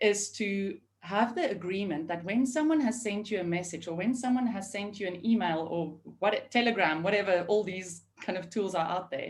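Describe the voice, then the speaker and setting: The woman's voice has a somewhat breathy quality. Her pitch shifts in an ordinary way. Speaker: remote team leadership consultant. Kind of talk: webinar panel discussion. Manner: fast.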